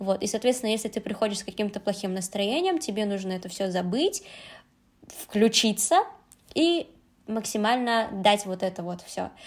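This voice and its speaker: A woman of medium pitch talks at a moderate pace with ordinary pitch variation. She takes long, frequent pauses. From Uzbekistan, Tashkent. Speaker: Korean language teacher. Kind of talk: casual chat.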